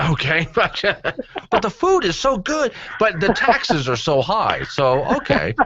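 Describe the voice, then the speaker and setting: A man speaks fairly slowly in a high pitch with very wide pitch swings. Noticeable background noise is present. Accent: American. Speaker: syndicated radio talk show host. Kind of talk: talk radio host banter with callers. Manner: irreverent, conversational, sarcastic.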